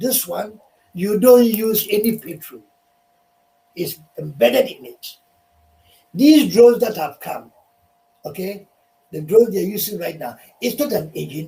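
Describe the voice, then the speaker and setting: Speaking at a fairly slow pace with long, frequent pauses, a man uses a high pitch, a dark, mellow tone, lively intonation and big swings in loudness. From Ghana. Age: 70s. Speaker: inventor. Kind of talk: talk show interview. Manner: forceful, emphatic.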